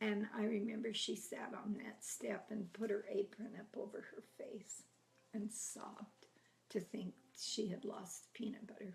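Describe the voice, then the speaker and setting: A woman with a fairly high pitch and a somewhat breathy voice speaks at a fairly slow pace in a flat monotone. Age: 80s+. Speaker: grandmother telling life stories. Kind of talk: oral history storytelling. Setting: at home, filmed by family.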